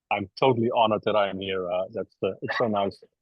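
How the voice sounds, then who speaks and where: With a Dutch accent, a man speaks at a fairly quick pace. His intonation is fairly even. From Netherlands, Rotterdam. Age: 60s. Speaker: embedded software engineer. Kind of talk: podcast interview. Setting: video call from an airport. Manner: halting, many fillers.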